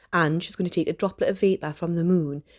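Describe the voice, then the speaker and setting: A woman speaks with a Geordie accent in a fairly low pitch and fairly even intonation, on a very clean recording with a silent background. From Northeast England. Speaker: teacher. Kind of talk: educational lesson narration.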